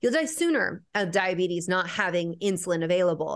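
A woman speaks in a normal speaking voice at medium pitch and a moderate pace, with lively intonation over a quiet background. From Mexican-American family. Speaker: naturopathic endocrinologist. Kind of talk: interview.

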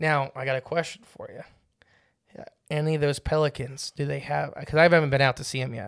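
An unremarkable speaking voice moves at a fairly quick pace with fairly even intonation but big swings in loudness. The recording is very clean, with a silent background. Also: man, fairly high pitch for a man. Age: 20s. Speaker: fishing podcast co-host. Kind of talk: casual chat.

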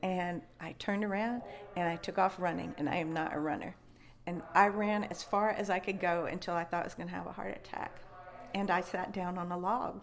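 A woman's fairly low, fairly even voice in an American accent, at a fairly quick pace over noticeable background noise. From West Virginia. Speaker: professor and Bigfoot researcher. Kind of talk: casual interview. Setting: interview at a conference venue.

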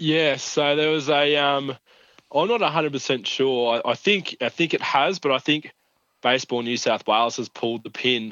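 A man's fairly high voice in an Australian accent, at a moderate pace with ordinary pitch variation. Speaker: regional sports correspondent. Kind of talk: casual chat. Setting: phone call.

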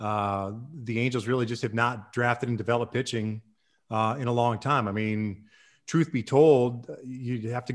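A man with a normal speaking voice talks at a fairly quick pace and medium pitch, his intonation fairly even, in a very clean recording with a silent background. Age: 50s. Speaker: baseball executive and former broadcaster. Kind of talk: casual interview.

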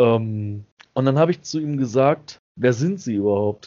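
A man talks at a very slow pace with medium pitch. His pitch swings very wide. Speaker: podcast host. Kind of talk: casual chat. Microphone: new headset.

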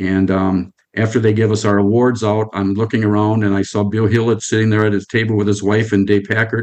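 A man's fairly low, monotone voice with flat intonation, very even loudness, a fairly quick pace and an Upper Midwest accent. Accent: Upper Midwest American. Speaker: retired computer salesman. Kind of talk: casual interview. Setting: video call.

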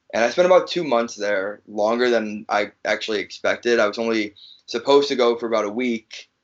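Moving at a fairly quick pace, a man speaks in a medium pitch with fairly even intonation. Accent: American. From Chicago. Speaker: pro wrestler. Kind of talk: interview. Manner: halting.

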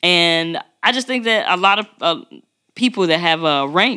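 An ordinary speaking voice from a woman, fairly low-pitched, at a moderate pace with lively intonation. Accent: American. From Chicago, west side. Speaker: podcast host, military veteran. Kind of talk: casual chat.

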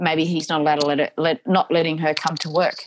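The voice carries an Australian accent. The recording is very clean with a silent background, and the sound is dry and close with no echo. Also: woman. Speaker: domestic violence advocate and speaker. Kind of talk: interview.

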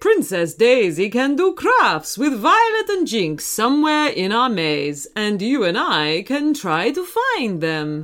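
A woman's put-on character voice, fairly high and fairly bright, at a slow pace with very wide pitch swings and few pauses

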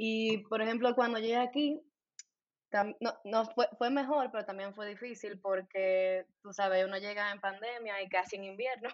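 A woman speaks in an ordinary speaking voice at a moderate pace, with fairly even intonation and big swings in loudness. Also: fairly high pitch for a woman. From Santo Domingo, Dominican Republic. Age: 20s. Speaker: dentist. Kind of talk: casual interview chat.

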